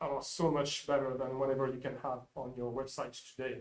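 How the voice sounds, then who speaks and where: A man's fairly high voice in a French accent, moderately paced, with audible room echo. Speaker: software developer presenting at a conference. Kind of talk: conference talk. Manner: halting, with frequent repetitions.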